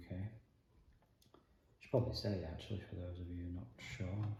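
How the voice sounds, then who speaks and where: In a strong Yorkshire accent, a man speaks with a very deep, low pitch, a dark, mellow and calm, relaxed tone, somewhat breathy, with audible room echo. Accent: Yorkshire, relatively strong. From northern England, Yorkshire (Leeds). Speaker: jigsaw channel host. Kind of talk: casual relaxing monologue while doing a jigsaw. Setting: at home, kitchen table. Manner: hesitant, many fillers.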